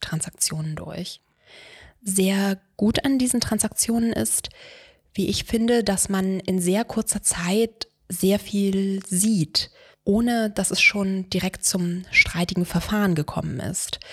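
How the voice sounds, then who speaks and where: Somewhat breathy, a woman speaks at a very slow pace. Her intonation stays fairly even. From Brandenburg, eastern Germany. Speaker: lawyer. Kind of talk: scripted monologue. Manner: formal.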